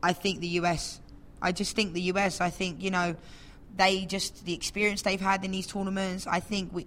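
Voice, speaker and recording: A woman with an English accent speaks at a medium pitch on a very clean recording with a silent background. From England. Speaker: professional footballer. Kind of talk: casual chat.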